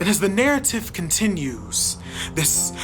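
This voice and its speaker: A woman speaks with music in the background. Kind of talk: spoken word poetry reading.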